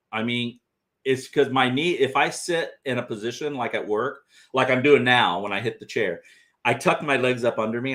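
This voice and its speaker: A man with an ordinary speaking voice talks at a moderate pace in a medium pitch. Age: 60s. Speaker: bigfoot researcher and channel host. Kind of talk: casual livestream chat. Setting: livestream studio.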